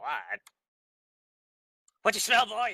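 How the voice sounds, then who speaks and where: A man's put-on character voice, dry and close with no echo. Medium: actual play. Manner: rambling, nervous.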